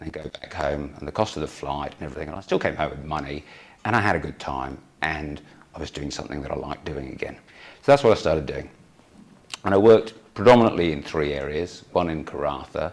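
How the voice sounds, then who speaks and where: Speaking at a very fast pace in a British accent, a man with a very deep, low pitch, vocal fry and ordinary pitch variation swings widely in loudness. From United Kingdom. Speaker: emergency physician. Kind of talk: conference talk.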